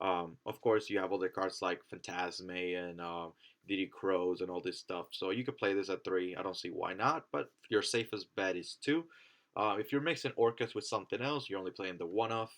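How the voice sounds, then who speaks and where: A man with a plain, everyday voice speaks at a fairly low pitch and a moderate pace. His pitch varies in an ordinary way against a quiet background. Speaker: trading card game content creator. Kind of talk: casual talk to camera.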